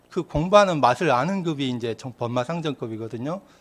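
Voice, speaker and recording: A man's fairly high voice with lively intonation, on a very clean recording with a silent background. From Korea, rural Yeonggwang area. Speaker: Won Buddhist minister giving dharma talks. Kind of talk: dharma talk. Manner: conversational storytelling.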